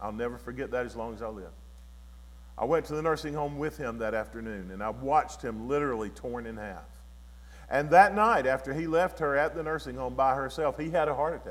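A man speaks at a fairly quick pace in a Southern US accent, his loudness swinging widely. Audible room echo surrounds his voice. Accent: Southern US (Georgia). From US South, Georgia. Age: 60s. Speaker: guest preacher. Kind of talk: sermon; testimony.

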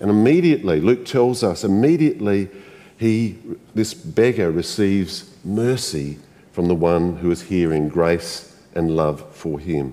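An Australian-accented man with a very deep, low voice, warm tone, lively intonation and a fairly slow pace. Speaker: pastor. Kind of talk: sermon. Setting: church. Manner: warm, conversational.

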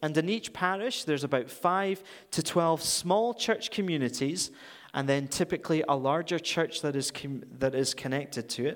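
Speaking in a Scottish accent, a man uses lively intonation. The recording is very clean, with a silent background. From Scotland. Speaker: guest preacher for a charity. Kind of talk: sermon. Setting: church.

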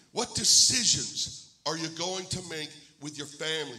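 Spoken with an American accent and ordinary pitch variation, the clip has noticeable background noise and audible room echo. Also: man. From Pennsylvania, US. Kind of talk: sermon. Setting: church.

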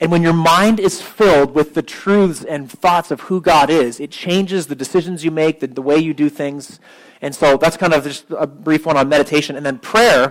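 A man with a fairly high pitch talks at a moderate pace with hardly any pauses. It is an ordinary speaking voice with ordinary pitch variation. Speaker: pastor. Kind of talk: sermon; guided prayer meditation. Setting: church with congregation and piano.

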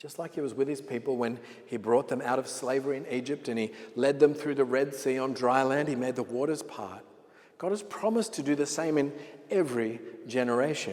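With an Australian accent, a man speaks at a fairly quick pace. His pitch is medium, with ordinary variation. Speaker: pastor. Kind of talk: sermon. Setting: church.

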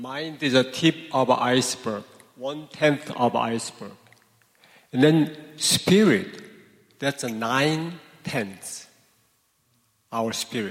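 This man, at medium pitch with ordinary pitch variation, talks at a very slow pace with long, frequent pauses. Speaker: seminary professor. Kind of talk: panel talk. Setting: church with live audience.

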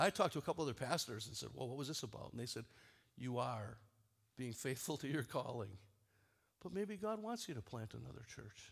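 Medium-pitched male voice with vocal fry, very wide pitch swings, a fairly quick pace and long, frequent pauses. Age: 60s. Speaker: pastor. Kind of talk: bible teaching. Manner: halting.

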